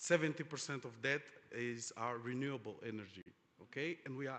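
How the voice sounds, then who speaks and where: This man speaks with a Portuguese accent at a medium pitch. His pitch varies in an ordinary way. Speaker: oil industry panelist. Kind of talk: panel discussion. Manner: halting, many fillers.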